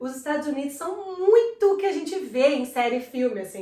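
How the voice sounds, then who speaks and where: A woman's voice with lively intonation, amid audible room echo and noticeable background noise. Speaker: videocast co-host. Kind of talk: casual chat.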